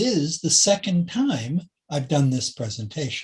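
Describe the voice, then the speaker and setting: Speaking at a fairly slow pace, a man with an American accent sounds somewhat breathy. His intonation is lively. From California. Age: 70s. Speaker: spiritist speaker, retired musician and technologist. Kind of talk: spiritual talk.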